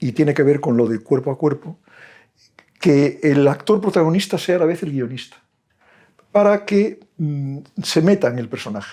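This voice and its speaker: Taking long, frequent pauses, a man with a fairly high pitch and a dark, mellow tone speaks at a moderate pace. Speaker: film director and film teacher. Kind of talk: talk to an audience. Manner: halting.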